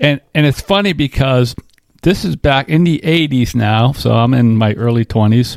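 Over a very clean, silent background with a dry, close sound and no echo, a man speaks in a normal speaking voice at medium pitch, moderate pace and lively intonation. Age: 60s. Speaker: podcast co-host. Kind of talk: casual chat.

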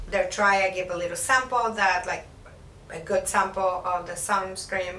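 Noticeable background noise and audible room echo accompany a woman's voice. She speaks at a moderate pace with ordinary pitch variation. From Mexico (Puebla). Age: 50s. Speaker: aesthetician. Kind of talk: interview. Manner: halting.

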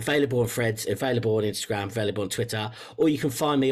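A man speaks with an English accent. His pitch is medium, with ordinary pitch variation. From England. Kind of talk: interview conversation.

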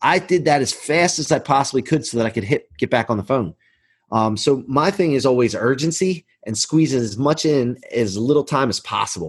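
A man talks in a plain, everyday voice at a medium pitch. His pace is moderate, his intonation lively, and the background quiet. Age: 40s. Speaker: mortgage business leader. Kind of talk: casual interview.

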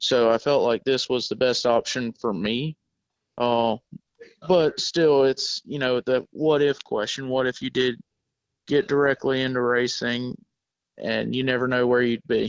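Fairly slow speech in a Southern US accent with ordinary pitch variation. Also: man, medium pitch for a man. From South Georgia. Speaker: welding sales employee.

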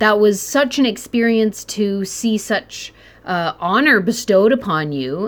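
At a fairly slow pace, a woman talks in an unremarkable speaking voice, fairly high in pitch, with lively intonation. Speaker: podcast host. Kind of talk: casual interview chat.

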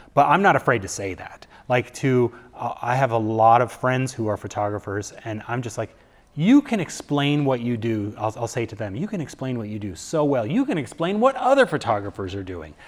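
A man with a medium pitch speaks with lively intonation and big swings in loudness. The recording is very clean, with a silent background. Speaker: former radio host turned photographer. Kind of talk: casual interview. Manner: halting, many fillers and repetitions.

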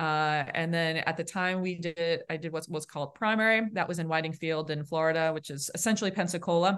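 A woman with a Boston accent talks at a fairly quick pace with hardly any pauses, against a quiet background. Her voice is fairly low, with fairly even intonation. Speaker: naval aviator officer. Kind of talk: casual interview.

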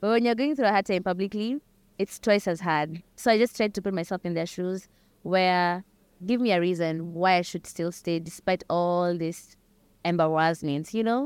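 Recorded dry and close with no echo against a silent background on a very clean recording, a woman speaks with a Kenyan accent. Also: medium pitch for a woman, ordinary pitch variation, moderate pace. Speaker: singer-songwriter. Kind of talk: interview chat.

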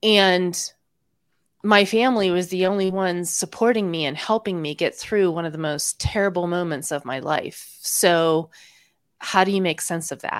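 On a very clean recording with a silent background, a woman in an ordinary speaking voice talks at a moderate pace and medium pitch with ordinary pitch variation. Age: 40s. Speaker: former Jehovah's Witness, YouTuber. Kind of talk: interview.

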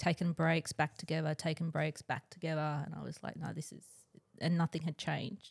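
Someone with an Australian accent talks at a moderate pace, with a dry, close sound and no echo. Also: woman. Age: 40s. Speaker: twin flame guest, Reiki practitioner. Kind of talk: casual chat.

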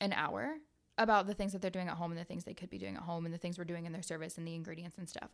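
A woman's medium-pitched voice with a Midwestern American accent, in a very clean recording against a silent background. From US Midwest (small town, southern Ohio). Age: 20s. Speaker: esthetician and business owner. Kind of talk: casual interview chat. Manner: animated.

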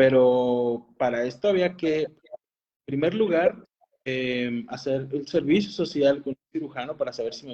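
Speaking at a fairly slow pace, a man with a fairly high pitch and a dark, mellow tone shows big swings in loudness. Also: lively intonation. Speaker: oral and maxillofacial surgeon. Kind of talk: casual interview.

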